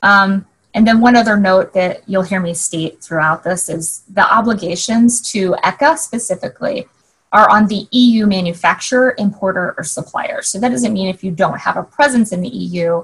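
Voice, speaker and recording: A woman talks at medium pitch, sounding somewhat breathy. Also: lively intonation, moderate pace. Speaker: regulatory affairs manager, conference speaker. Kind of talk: keynote presentation. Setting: virtual summit via video call. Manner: hesitant fillers.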